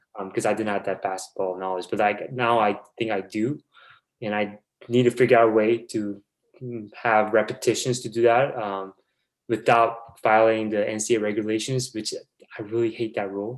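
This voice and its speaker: A man with a Korean accent, flat and monotone in intonation, at a moderate pace. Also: medium pitch for a man. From South Korea. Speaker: basketball video coordinator. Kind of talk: podcast interview. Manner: halting.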